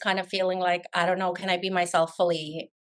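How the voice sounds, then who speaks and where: A woman speaks at a medium pitch. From Afghanistan, raised in Canada from about age 12. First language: not English. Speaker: realtor. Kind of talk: podcast interview.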